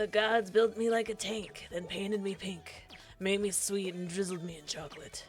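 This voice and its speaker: A put-on character voice, gravelly and at a middle pitch, delivered at a moderate pace over clear background noise. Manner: gruff, boastful.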